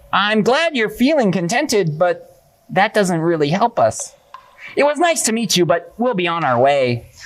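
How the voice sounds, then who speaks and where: Using a cartoonish character voice at a middle pitch, the speaker makes very wide pitch swings at a moderate pace. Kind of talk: puppet show performance. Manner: upbeat, determined.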